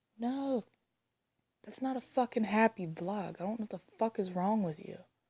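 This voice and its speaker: Somewhat breathy, a woman with a fairly high voice talks at a moderate pace with ordinary pitch variation. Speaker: vlogger. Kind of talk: reaction rant. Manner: halting, repetitive.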